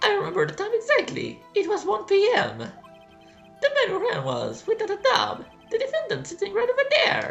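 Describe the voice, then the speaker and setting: Over clear music in the background, a man performs a put-on character voice at a moderate pace. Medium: solo performance. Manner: nervous.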